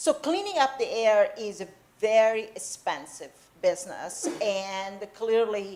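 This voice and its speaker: With an Italian accent, a woman speaks at a fairly slow pace in a fairly high pitch, her intonation lively and her loudness swinging widely. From Italy. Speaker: professor. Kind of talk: public lecture conversation.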